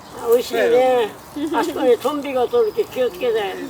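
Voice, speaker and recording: With an extremely high pitch and lively intonation, a man speaks at a moderate pace amid noticeable background noise. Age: 70s. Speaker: hot dog stand owner. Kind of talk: casual talk with customers.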